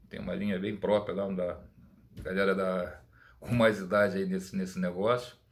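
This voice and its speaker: This man talks at a moderate pace in a fairly low voice, keeping his intonation fairly even. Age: 60s. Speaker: perfume YouTuber. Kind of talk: casual monologue. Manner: halting, many repetitions.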